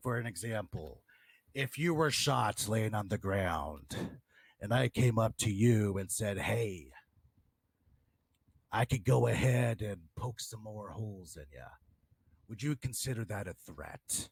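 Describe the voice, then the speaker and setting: Using a put-on character voice, a man speaks fairly low and fairly slowly with lively intonation, big swings in loudness, and long, frequent pauses, all in a dry, close sound with no echo. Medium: game stream. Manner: insistent, argumentative.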